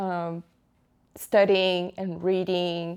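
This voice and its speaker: A woman speaks with a strong Brazilian accent and medium pitch. The recording is very clean, with a silent background. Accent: thick Brazilian Portuguese. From Brazil, São Paulo. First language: Portuguese. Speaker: tech project manager. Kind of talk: interview.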